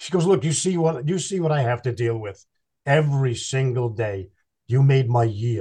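A man's dark, mellow, somewhat breathy voice at medium pitch, with lively intonation and a moderate pace against a quiet background. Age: 60s. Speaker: professional Santa. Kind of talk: casual interview chat.

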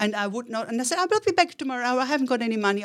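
A woman with an Austrian accent swings her pitch very widely in a very clean recording with a silent background. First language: German. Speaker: entrepreneur. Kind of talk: interview.

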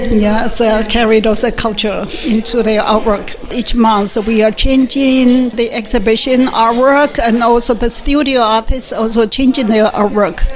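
A woman in a Taiwanese accent, fairly high in pitch, at a fairly slow pace and very even loudness. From Green Island, Taiwan. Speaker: arts council executive director. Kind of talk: interview answers.

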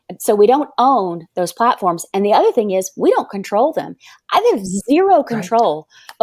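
An ordinary speaking voice from a woman with a fairly high pitch and an American accent, at a moderate pace, in a dry, close sound with no echo. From US South. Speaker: business coach. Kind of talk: interview. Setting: video call.

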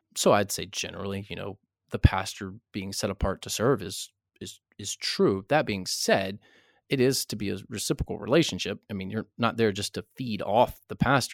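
Recorded very cleanly with a silent background and a dry, close sound with no echo, the speech moves at a moderate pace with ordinary pitch variation and big swings in loudness. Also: man. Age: 60s. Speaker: pastor and author. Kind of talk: interview. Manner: halting, many repetitions.

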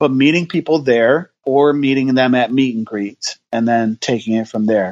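Dry and close with no echo, a man's recording presents an unremarkable speaking voice at medium pitch, moderate pace and ordinary pitch variation. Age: 40s. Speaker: pastor. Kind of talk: casual chat.

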